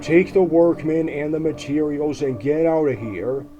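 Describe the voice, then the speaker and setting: Using a put-on character voice, a man speaks at a moderate pace with a fairly high pitch. Clear background noise can be heard. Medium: read story.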